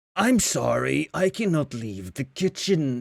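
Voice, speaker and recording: A man's put-on character voice at a medium pitch. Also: fairly slow pace. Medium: actual play. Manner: scripted, stiff customer-service politeness.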